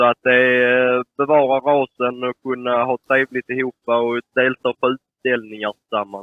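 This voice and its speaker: A man's monotone, flat delivery with hardly any pauses. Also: medium pitch for a man, moderate pace. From southern Sweden, Skåne. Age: 20s. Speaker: poultry breeder. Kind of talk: interview answers.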